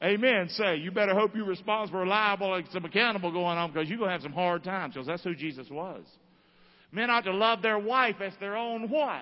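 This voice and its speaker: A man with a Southern US accent, animated in tone, high-pitched, with ordinary pitch variation and a very fast pace. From US South, North Carolina (Rockingham). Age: 50s. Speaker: pastor. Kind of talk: sermon. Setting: church.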